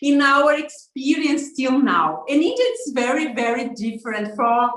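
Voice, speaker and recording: A woman with a high-pitched voice talks in a room with audible echo. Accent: Brazilian. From Brazil, southern barbecue state. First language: Portuguese. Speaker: social media influencer. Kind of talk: interview. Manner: halting, many fillers.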